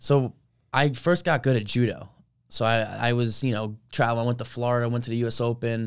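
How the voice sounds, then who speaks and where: A man with an American accent and an unremarkable speaking voice talks at medium pitch and a fairly quick pace. His intonation is fairly even, on a very clean recording with a silent background. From New Jersey (Colonia). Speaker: college wrestler. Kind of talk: casual interview. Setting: studio.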